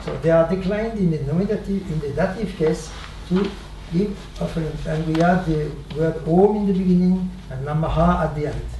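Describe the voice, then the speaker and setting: A man speaks at a fairly quick pace with a high pitch. Noticeable background noise and audible room echo are present. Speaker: swami, spiritual teacher. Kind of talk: spiritual talk, storytelling. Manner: halting, many fillers.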